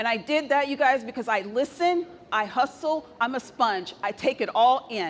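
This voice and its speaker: At a moderate pace, a woman with a high pitch and a bright, sharp tone speaks with lively intonation. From Texas. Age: 50s. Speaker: tech executive. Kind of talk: conference talk. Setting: stage with audience. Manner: soft-spoken.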